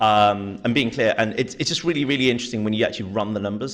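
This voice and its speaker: With a British accent, a man speaks at a fairly low pitch with ordinary pitch variation. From Britain. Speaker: venture capital investor, panelist. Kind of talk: panel discussion.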